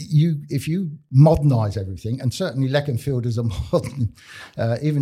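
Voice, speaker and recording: A man speaks with a Cumbrian accent at a fairly quick pace, his voice medium in pitch with ordinary pitch variation. His tone is dark and mellow, and somewhat breathy. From northern England. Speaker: community radio co-host. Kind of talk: casual chat. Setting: studio.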